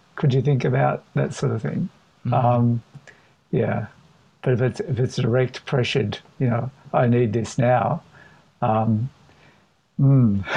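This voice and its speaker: Speaking fairly slowly with long, frequent pauses, a man with a somewhat breathy, medium-pitched voice shows ordinary pitch variation. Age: old. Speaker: panel guest. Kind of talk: casual chat. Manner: slow with long pauses.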